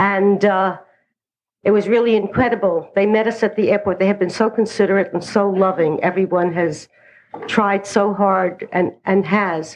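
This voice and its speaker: With a New York accent, a woman speaks at medium pitch and a moderate pace, her intonation fairly even and her loudness very even. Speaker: recovery speaker. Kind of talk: personal testimony.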